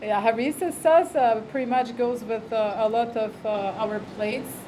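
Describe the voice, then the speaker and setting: Over noticeable background noise, a woman with a non-native accent speaks at a moderate pace in a fairly high pitch with ordinary pitch variation. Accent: foreign. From Europe. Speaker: restaurant owner. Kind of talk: casual interview. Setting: restaurant. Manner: hesitant, many fillers.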